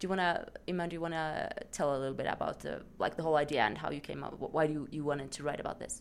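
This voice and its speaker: A woman with a Swedish accent speaks at a very fast pace. Her pitch is very deep and low, her intonation fairly even. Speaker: podcast host. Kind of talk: casual chat.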